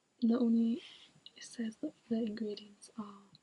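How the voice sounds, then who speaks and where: Whispering and soft-spoken, a woman talks at a fairly slow pace with a somewhat breathy voice. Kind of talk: ASMR hair care talk to camera. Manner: whispered, soft-spoken.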